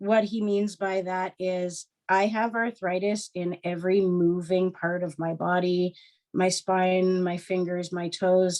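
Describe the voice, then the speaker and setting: The woman's intonation is monotone and flat. She speaks at a fairly slow pace. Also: medium pitch for a woman. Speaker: podcast host sharing health story. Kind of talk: casual interview chat, personal testimony. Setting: recorded conversation with co-host.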